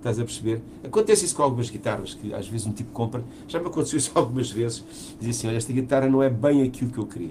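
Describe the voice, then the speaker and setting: Speeding along very fast, a man keeps to a medium pitch and ordinary pitch movement. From Portugal. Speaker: musician and podcast co-host. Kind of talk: casual chat.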